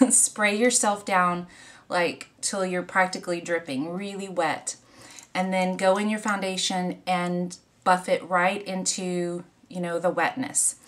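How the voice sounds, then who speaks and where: A woman speaks with an American accent and fairly even intonation. Her pace is fairly slow. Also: medium pitch for a woman. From US South, Louisiana. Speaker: beauty vlogger. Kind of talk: makeup tutorial. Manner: casual, rambling with fillers.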